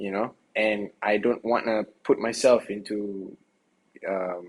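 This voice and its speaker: Very slowly, a man speaks in a fairly low pitch with monotone, flat intonation. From Singapore. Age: young. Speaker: rapper, singer and dancer. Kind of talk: interview. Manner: halting, many repeated words.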